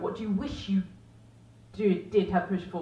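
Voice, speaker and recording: Noticeable background noise sits behind a woman's voice. She speaks at a medium pitch and a very fast pace. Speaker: performance poet. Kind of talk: casual talk to live audience. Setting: small pub with live audience. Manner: conversational.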